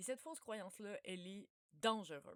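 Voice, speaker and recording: Here a woman speaks with a Quebec accent. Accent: Québécois French. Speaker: researcher. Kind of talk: informal talk. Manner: loud; casual.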